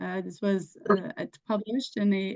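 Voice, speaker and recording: The woman's voice has a dark, mellow tone at a medium pitch, with ordinary pitch variation. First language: English (speaking French). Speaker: researcher. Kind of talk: research presentation.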